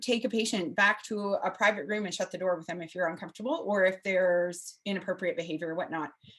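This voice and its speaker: Very fast delivery pairs with ordinary pitch variation. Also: woman. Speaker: palliative care physician. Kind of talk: lecture.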